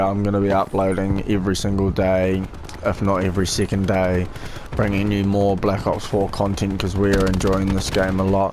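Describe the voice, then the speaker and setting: A man with a fairly low voice at a moderate pace, amid noticeable background noise and audible room echo. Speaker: gaming youtuber. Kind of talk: gameplay commentary. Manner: low-energy, laid-back; hesitant with fillers.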